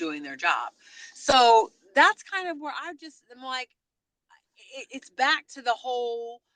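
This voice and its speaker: A woman's high, bright, sharp voice has an animated tone and very wide pitch swings, recorded with a dry, close sound and no echo. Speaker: podcast co-host. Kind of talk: casual chat.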